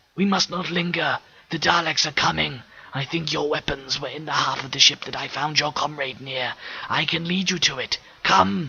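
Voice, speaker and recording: A man whispers at a moderate pace, using a put-on character voice. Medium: read story. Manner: eloquent, measured.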